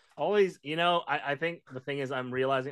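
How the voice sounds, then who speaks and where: Speaking at a fairly quick pace, the man uses ordinary pitch variation. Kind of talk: casual chat. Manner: animated.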